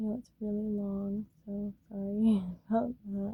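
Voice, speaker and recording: A woman speaks at a fairly slow pace and medium pitch in a dark, mellow tone. Her voice is somewhat breathy, with monotone, flat intonation. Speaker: tarot reader. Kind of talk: personal reading.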